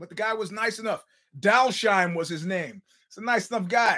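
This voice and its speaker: A man's raised, projected voice, high-pitched and animated, on a very clean recording with a silent background. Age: 50s. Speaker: podcast host. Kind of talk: casual monologue.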